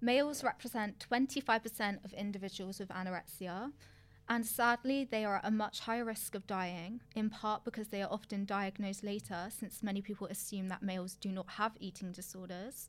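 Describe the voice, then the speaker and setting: A woman speaks at medium pitch with a British accent. Her pace is fairly quick and her intonation fairly even. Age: 20s. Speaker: podcast co-host, fitness coach. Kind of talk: reading statistics aloud; casual chat.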